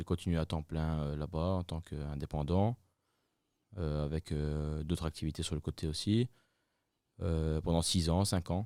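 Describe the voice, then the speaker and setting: A man with a very deep, low pitch and a dark, mellow tone speaks at a fairly slow pace with long, frequent pauses. The sound is dry and close with no echo. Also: fairly even intonation, very clean recording, silent background. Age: 20s. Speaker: friterie owner, entrepreneur. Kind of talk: interview. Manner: hesitant, many fillers.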